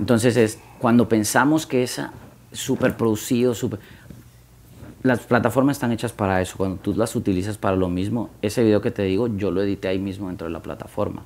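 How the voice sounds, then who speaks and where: Fairly quick in pace, this man has a plain, everyday voice. His pitch is fairly low, with ordinary pitch variation. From Guatemala. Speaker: music marketing consultant. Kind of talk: podcast interview. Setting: office with live audience.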